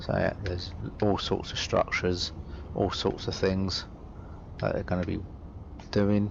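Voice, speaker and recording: Pausing long and often, a man talks at a fairly slow pace amid audible room echo. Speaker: gaming YouTuber. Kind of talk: gameplay commentary. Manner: halting.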